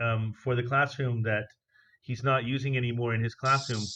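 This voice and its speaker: A bright, sharp tone comes through at a moderate pace over a quiet background. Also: man. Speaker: teacher. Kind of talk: online class. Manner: loud.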